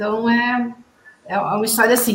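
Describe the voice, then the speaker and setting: A woman's high-pitched voice at a moderate pace, with audible room echo. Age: 50s. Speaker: physical education teacher. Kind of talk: interview.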